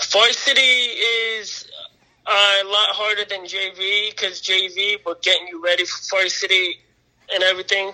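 At a fairly slow pace, a man with an American accent uses a raised, projected voice, pitched high with fairly even intonation. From northeastern Pennsylvania. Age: 20s. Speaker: volunteer firefighter. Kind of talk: casual chat.

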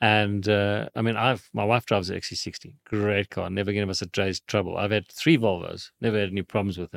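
An ordinary speaking voice from a man, fairly low in pitch, fairly quick in pace and fairly even in intonation, on a very clean recording with a silent background. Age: 60s. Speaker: motoring journalist and mechanic. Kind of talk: casual chat. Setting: studio.

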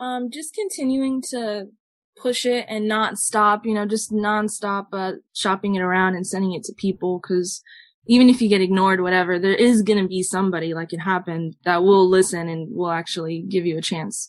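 Against a quiet background, a woman with a Southern California accent talks at a moderate pace, her medium pitch showing ordinary variation. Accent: Southern Californian English. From Southern California, Los Angeles area. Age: 20s. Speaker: musician in a band. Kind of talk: casual interview chat.

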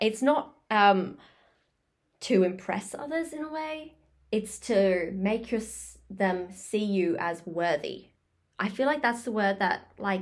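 A woman with an Australian accent speaks at medium pitch with lively intonation. Her pace is very slow, broken by long, frequent pauses. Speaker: podcast co-host. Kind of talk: casual chat. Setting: home recording on laptop.

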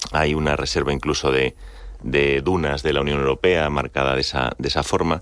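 A man talks at a fairly quick pace in a very deep, low pitch, with fairly even intonation and very even loudness. Noticeable background noise runs underneath. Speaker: business executive. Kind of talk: radio interview.

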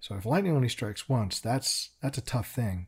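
In a very clean recording with a silent background, a somewhat breathy man speaks at a medium pitch with ordinary pitch variation. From England, raised in Chicago. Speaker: creature designer. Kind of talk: casual interview. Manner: self-deprecating, humorous.

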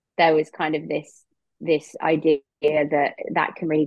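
With an English accent, a woman speaks at a moderate pace in a very deep, low voice. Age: 30s. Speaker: EFT and eating disorder practitioner. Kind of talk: casual interview chat.

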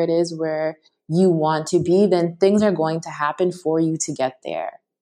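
Speaking at a moderate pace with a Canadian accent, a woman has a dark, mellow tone and a fairly low pitch. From Canada, Toronto. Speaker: mindfulness teacher. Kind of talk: interview conversation.

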